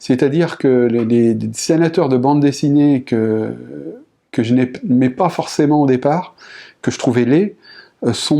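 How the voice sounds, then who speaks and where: Speaking at a moderate pace, a man uses a fairly high pitch with a dark, mellow tone. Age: 50s. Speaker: painter. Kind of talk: interview testimony. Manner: halting, many repetitions and hesitations.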